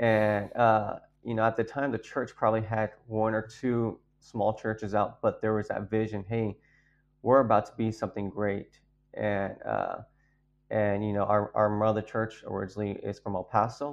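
The speaker has an American accent and a moderate pace. Intonation is monotone and flat. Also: man, fairly low pitch for a man. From Texas, San Antonio. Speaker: pastor. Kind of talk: testimony.

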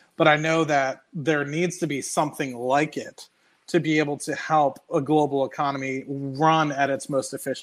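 A man with an American accent speaks at a fairly high pitch in a normal speaking voice, at a moderate pace. The recording is very clean, with a silent background. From United States. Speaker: finance YouTuber. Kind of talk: casual chat.

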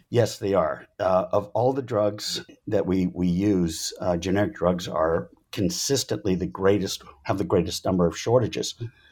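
In a plain, everyday voice, a man speaks at a moderate pace with fairly low pitch and lively intonation. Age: 50s. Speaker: supply chain professor and author. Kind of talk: interview.

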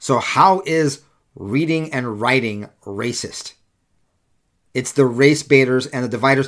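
Recorded very cleanly against a silent background, a man with an American accent speaks at medium pitch in an animated tone, with ordinary pitch variation, a fairly slow pace and long, frequent pauses. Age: 40s. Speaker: political podcast host. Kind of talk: solo commentary monologue.

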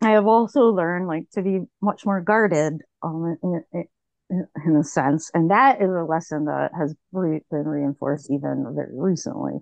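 At a moderate pace, a woman talks in a fairly low pitch with ordinary pitch variation. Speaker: author and researcher. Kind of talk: interview conversation. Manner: halting, many fillers and repetitions; informal, unpolished.

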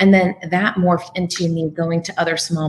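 A woman with a fairly low voice speaks at a moderate pace in a flat monotone, with noticeable background noise around her. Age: 40s. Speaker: media trainer and author, former TV journalist. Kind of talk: interview. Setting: remote connection from California.

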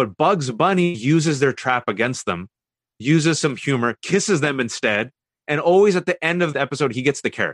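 A man with an American accent speaks fairly quickly at a fairly high pitch, his intonation lively. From US West Coast (Bay Area, California). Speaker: author and commentator. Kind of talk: interview.

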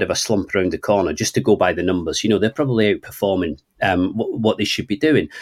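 A man with a Scottish accent talks with lively intonation. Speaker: football journalist. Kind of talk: casual chat. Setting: remote recording.

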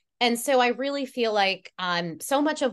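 A woman with a fairly high pitch speaks fairly slowly in an animated tone. Her intonation is lively, and the background is quiet. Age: 40s. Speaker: life coach and program creator. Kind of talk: casual interview chat.

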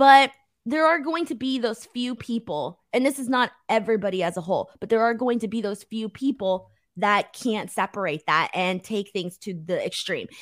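Her voice is an unremarkable speaking voice, fairly high for a woman, with lively intonation. The recording is very clean, with a silent background. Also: moderate pace. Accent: American. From United States, Mexican heritage. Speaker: wrestling YouTuber and co-host. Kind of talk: casual chat.

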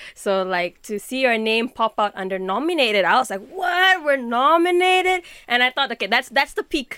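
With a bright, sharp tone, a woman talks in a high pitch at a moderate pace, her pitch swinging very widely, with hardly any pauses and a dry, close sound with no echo. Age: 20s. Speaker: musician and youth movement co-founder. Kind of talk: interview.

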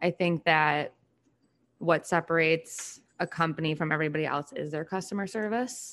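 A woman's unremarkable speaking voice, fairly low in pitch, with ordinary pitch variation and a moderate pace over a quiet background. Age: 20s. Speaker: food ingredients sales in family company. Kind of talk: casual chat.

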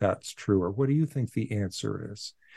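A man with an American accent talks in a dark, mellow tone with lively intonation against a quiet background. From US Pacific Northwest (Portland, Oregon). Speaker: philosopher and author. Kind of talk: interview.

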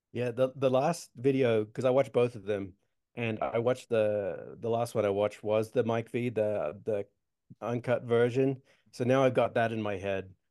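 Medium pitch from a man with an Australian accent, a dark, mellow tone and fairly even intonation, at a moderate pace over a quiet background. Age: 40s. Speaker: skateboarder and social media comedian. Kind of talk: casual interview chat.

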